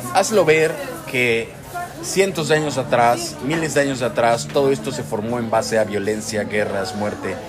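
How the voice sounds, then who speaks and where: A man's voice makes very wide pitch swings over music in the background, with audible room echo. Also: medium pitch for a man, moderate pace. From Mexico. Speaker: podcast co-host, vlogger. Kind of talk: casual chat.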